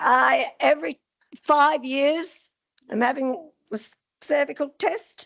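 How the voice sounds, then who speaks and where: A woman's high voice in an Australian accent, at a very slow pace. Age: 60s. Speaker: audience member at a health forum. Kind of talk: audience question and personal story. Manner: casual, chatty.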